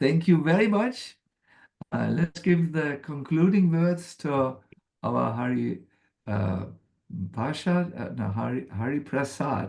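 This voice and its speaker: With a German accent and a somewhat breathy, fairly high voice, a man speaks very slowly, his pitch swinging very widely between long, frequent pauses. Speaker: spiritual teacher. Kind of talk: spiritual talk. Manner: halting.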